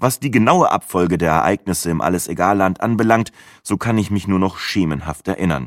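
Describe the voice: The speaker does plain reading aloud, with pitch that varies in an ordinary way.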